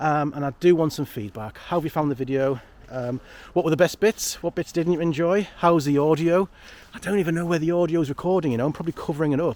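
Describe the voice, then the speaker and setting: Words pour out of a man at a very fast pace. His fairly high pitch varies in an ordinary way. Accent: Geordie. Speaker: photography vlogger. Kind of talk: casual vlog monologue. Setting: outdoors in woodland. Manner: rambling, chatty.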